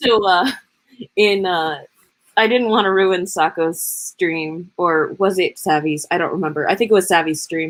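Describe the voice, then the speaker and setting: A woman with a medium pitch speaks at a moderate pace with ordinary pitch variation. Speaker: livestreamer hosting writing sprint. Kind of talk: casual chat. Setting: live stream, at night. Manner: loud.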